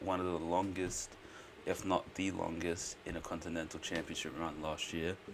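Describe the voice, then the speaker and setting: With an Australian accent, a man speaks at a moderate pace. His voice is very deep and low, with monotone, flat intonation. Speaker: streamer. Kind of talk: live stream reaction commentary. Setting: at home, live stream. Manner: quiet, keeping voice down; casual, filler-heavy.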